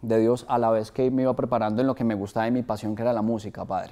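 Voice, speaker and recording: A man's dark, mellow voice at a very fast pace over a quiet background. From Colombia, Bogotá and Acacías (Meta); Colombia. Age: 20s. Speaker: media worker and actor; interview guest. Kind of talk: testimony; interview answer. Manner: halting, with many repeated words. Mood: earnest, emotional. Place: studio. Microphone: lapel.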